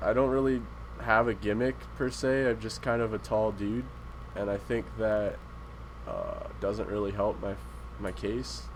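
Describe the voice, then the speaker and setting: Fairly slow speech with an American accent, long, frequent pauses, and noticeable background noise. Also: man. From Canada then US from age 10. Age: 20s. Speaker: podcast guest, gamer. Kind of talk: casual chat.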